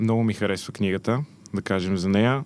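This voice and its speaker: A man talks in a normal speaking voice at a fairly low pitch. His pitch varies in an ordinary way. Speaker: podcast host. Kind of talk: casual interview. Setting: studio.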